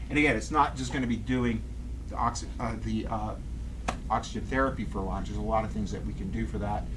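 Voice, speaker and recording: A man talks at a very fast pace, with audible room echo. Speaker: chiropractor. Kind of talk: lecture.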